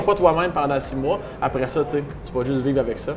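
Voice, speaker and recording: A man with a Quebec accent against noticeable background noise. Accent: regional Quebec French. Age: young. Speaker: stand-up comedian. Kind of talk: interview answer. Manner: casual, humorous.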